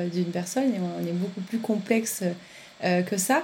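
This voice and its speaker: The woman's voice is somewhat breathy, moving at a moderate pace with ordinary pitch variation. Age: 30s. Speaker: podcast host. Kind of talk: interview.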